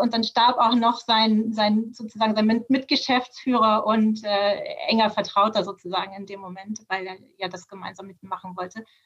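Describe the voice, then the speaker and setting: A woman speaks with a somewhat breathy voice. Her pitch is fairly high and her intonation fairly even. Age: 40s. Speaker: managing director of a family business. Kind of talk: interview.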